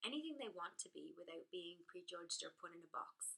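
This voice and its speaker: A woman with an Irish accent. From Ireland. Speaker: blogger. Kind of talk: direct-to-camera talk.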